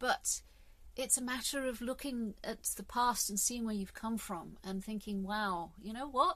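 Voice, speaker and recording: This woman talks in a southern British accent at a fairly high pitch. Her intonation is lively and her pace fairly slow. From England. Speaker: podcast host. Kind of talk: solo monologue podcast. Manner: animated, halting with repetitions.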